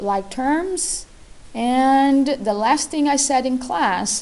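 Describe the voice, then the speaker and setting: With a dark, mellow tone and lively intonation, a woman talks at a very slow pace. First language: not English. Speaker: math teacher. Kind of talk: tutorial.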